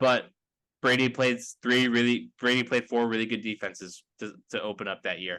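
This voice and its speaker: A man with a medium pitch and a bright, sharp tone speaks at a fairly quick pace. The background is quiet. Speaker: sports podcast host. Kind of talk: casual sports podcast discussion. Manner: monotone.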